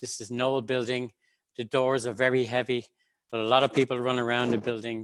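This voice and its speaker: With an Irish accent, a man speaks at a fairly quick pace. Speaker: government researcher. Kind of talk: panel talk. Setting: video call webinar.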